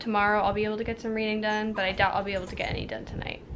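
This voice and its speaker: Audible echo from the room is present. The speaker is a woman. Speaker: book vlogger. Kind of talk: casual vlog. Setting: at boyfriend's house, sitting on floor.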